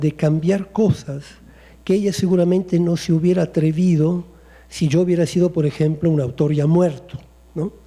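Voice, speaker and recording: A high-pitched man with a dark, mellow tone, fairly even intonation and an Italian accent. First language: Italian (speaking Spanish). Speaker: poet. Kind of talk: panel discussion.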